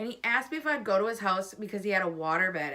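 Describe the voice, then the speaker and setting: Loud and very fast, a woman of medium pitch speaks with very wide pitch swings amid noticeable background noise. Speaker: vlogger. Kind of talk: casual chat. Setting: at home.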